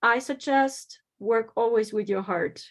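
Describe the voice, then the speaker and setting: In a German accent, a woman speaks at a fairly slow pace. Her intonation is fairly even, and the background is quiet. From Germany. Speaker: psychic medium and spiritual teacher. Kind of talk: conference talk.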